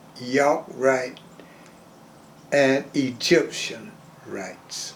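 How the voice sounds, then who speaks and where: Noticeable noise sits in the background. Over it, a man talks very slowly. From US South, Georgia and Jacksonville, Florida. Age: 100. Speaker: retired railroad porter. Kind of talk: oral history interview. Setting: interview in Jacksonville.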